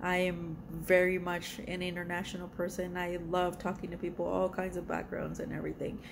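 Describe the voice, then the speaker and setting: A woman with a Spanish accent speaks in a fairly low, monotone, flat voice. Audible room echo surrounds her. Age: 40s. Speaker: art YouTuber. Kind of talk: casual vlog self-introduction. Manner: hesitant, many fillers.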